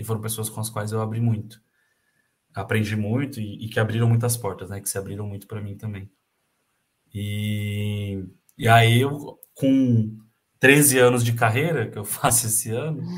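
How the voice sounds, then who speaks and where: A man speaks at a moderate pace with medium pitch, a somewhat breathy voice and fairly even intonation. His loudness swings widely, and long pauses come often. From Brazil, Campinas (São Paulo state). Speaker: handball coach. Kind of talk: casual interview.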